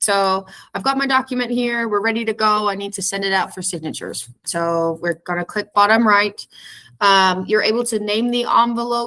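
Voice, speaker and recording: A woman talks with fairly high pitch and ordinary pitch variation. The recording is very clean, with a silent background. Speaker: real estate software trainer. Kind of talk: tutorial. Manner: fast.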